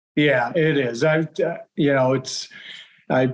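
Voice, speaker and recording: In an ordinary speaking voice, a man with an American accent talks at a fairly slow pace, his fairly high pitch varying in an ordinary way. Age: 60s. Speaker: bow hunter, archery club president. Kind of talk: podcast interview.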